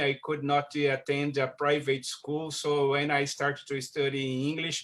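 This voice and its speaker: A man with a Brazilian accent speaks in a fairly high voice. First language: Portuguese. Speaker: scientist. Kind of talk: online presentation. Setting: video call. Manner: halting.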